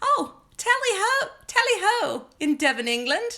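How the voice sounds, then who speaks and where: Using a put-on character voice with a British accent, the speaker talks at a fairly slow pace in an extremely high pitch with very wide pitch swings. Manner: exaggerated, imitation.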